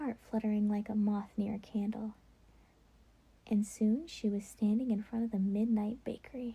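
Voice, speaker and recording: Soft-spoken and somewhat breathy, a woman talks with a fairly high pitch and a dark, mellow tone. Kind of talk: bedtime story reading.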